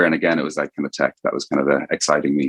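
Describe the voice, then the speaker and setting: Talking very fast with an Irish accent, a man with a very deep, low voice and vocal fry is heard in a dry, close recording with no echo. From Ireland, Dublin. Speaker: venture capital investor. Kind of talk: podcast interview. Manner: casual, many fillers.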